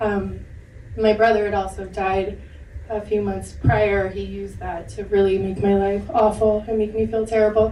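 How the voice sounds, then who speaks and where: The room echo is audible, and background noise is noticeable. Through it, a woman speaks at a moderate pace. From Maine. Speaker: domestic abuse survivor on a panel. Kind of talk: personal testimony. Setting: panel discussion with audience at a film center.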